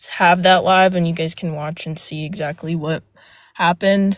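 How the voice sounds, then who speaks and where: A woman speaks at medium pitch with monotone, flat intonation on a very clean recording with a silent background. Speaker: panel speaker on a live stream. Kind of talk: casual live-stream panel talk. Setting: live stream panel, outdoors. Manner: halting, many fillers.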